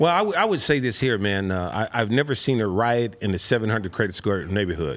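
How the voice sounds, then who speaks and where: A man talks very fast in a fairly low pitch with lively intonation. Noticeable background noise runs under his voice. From South Central Los Angeles. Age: 50s. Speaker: financial educator. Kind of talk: casual interview.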